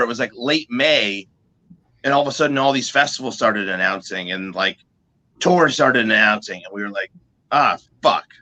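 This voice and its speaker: With a dry, close sound and no echo, a man in an American accent speaks at a moderate pace and medium pitch with lively intonation. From US Northeast, New Jersey. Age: 40s. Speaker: metal musician. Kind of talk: casual interview chat. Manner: halting.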